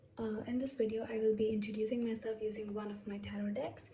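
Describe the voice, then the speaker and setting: With noticeable background noise behind her, a woman talks at a fairly quick pace. Her pitch is fairly high. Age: adult, over 21. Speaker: tarot reader. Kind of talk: casual talk to camera.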